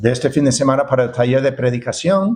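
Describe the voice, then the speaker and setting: Here is a man speaking. His pitch sits in the medium range. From United States. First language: English (speaking Spanish). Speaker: pastor and seminary professor. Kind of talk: sermon. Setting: church. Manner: halting, many fillers and repetitions.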